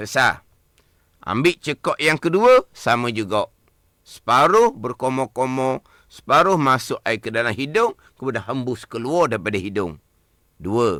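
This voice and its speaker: Speaking at a fairly slow pace with a slight Terengganu accent, a man has a medium pitch, a bright, sharp tone and lively intonation, recorded dry and close with no echo. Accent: Terengganu Malay, slight. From Malaysia, Terengganu. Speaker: religious teacher. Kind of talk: religious lesson on radio. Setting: radio studio.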